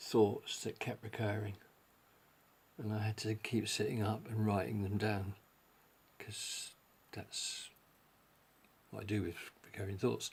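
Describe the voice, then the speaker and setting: With long, frequent pauses, a man mumbles in a fairly low, somewhat breathy voice and fairly even intonation. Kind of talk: casual talk to camera. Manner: mumbling.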